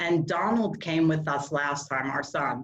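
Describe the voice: A woman's low voice with an American accent, ordinary pitch variation, a fairly slow pace and audible room echo.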